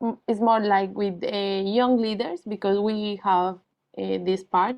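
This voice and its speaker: A woman speaks with a Spanish accent at a fairly slow pace. Her pitch is fairly high. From Colombia. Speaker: NGO founder and former teacher. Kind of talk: presentation. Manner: halting, many fillers.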